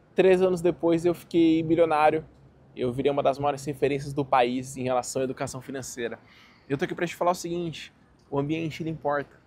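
Very fast speech from a man with a fairly high pitch, the sound dry with no echo. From Brazil. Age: 20s. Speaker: finance YouTuber. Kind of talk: casual vlog monologue. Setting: outdoors in a park. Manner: animated. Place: garden. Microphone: phone near.

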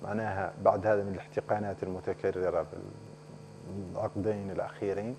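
At a moderate pace, this man is heard with noticeable background noise around him. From Mauritania. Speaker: member of parliament; politician guest. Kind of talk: TV political interview. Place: studio. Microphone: lapel.

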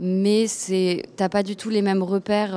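The woman's voice has a dark, mellow tone. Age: 20s. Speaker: actress. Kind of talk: interview. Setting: film festival. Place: hall. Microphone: handheld.

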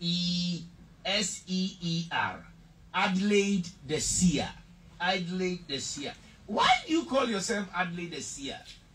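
A man with a Ghanaian accent talks at a very slow pace, with long, frequent pauses. His pitch is high with ordinary variation, and there is light background noise. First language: Twi. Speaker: interviewer. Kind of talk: interview. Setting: studio. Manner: animated. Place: studio.

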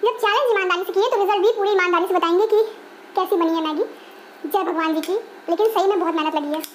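A woman talks at a very fast pace with an extremely high pitch. Her pitch variation is ordinary, and there is light background noise. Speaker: cooking vlogger. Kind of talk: casual vlog chat. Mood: playful, excited. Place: kitchen. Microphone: lapel.

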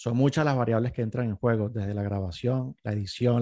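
A man talks at a moderate pace and medium pitch with ordinary pitch variation. His tone is dark and mellow, and the background is quiet. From Venezuela. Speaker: sound engineer and podcast producer; podcast producer. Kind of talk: interview. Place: home room. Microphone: studio mic.

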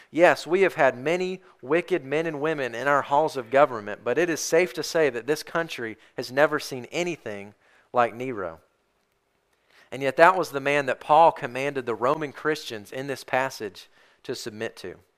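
The speaker is a man with a moderate pace and ordinary pitch variation. Behind him, all is quiet. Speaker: pastor. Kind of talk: sermon preached to a church congregation. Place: church.

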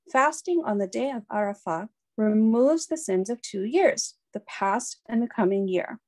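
Reading aloud in a natural voice, lively intonation, quiet background.

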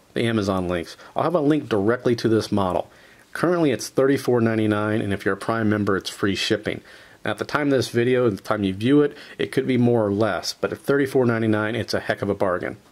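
The speech moves at a fairly quick pace. Its pitch varies in an ordinary way. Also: man. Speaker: product reviewer. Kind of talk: tutorial. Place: workshop.

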